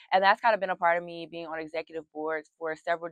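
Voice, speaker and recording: A woman with a Southern accent talks at a very fast pace. Her fairly low voice stays monotone and flat. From US South. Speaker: university student. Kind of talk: interview.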